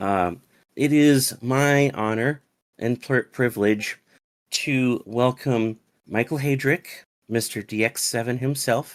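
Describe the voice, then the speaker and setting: Very slowly, a man speaks with ordinary pitch variation. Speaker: online community moderator hosting a Q&A. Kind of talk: live online event hosting. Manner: formal.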